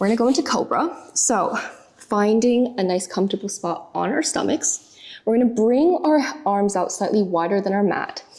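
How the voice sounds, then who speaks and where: Lively intonation marks a woman's speech, with noticeable background noise. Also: fairly high pitch for a woman, moderate pace. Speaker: pilates instructor. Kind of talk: guided workout instruction. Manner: calm, gentle. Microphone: mic very close to mouth.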